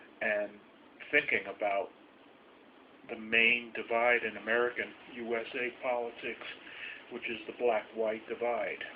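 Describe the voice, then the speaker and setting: Noticeable background noise surrounds a monotone, flat delivery in a New York accent. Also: man. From New York City. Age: old. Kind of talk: casual talk to camera.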